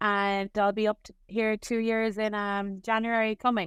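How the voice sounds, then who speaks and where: A woman with an Irish accent speaks at a fairly slow pace in a fairly high, monotone, flat voice. The sound is dry and close, with no echo. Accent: Irish, noticeable. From Ireland, Cork. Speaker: nurse. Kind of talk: casual interview.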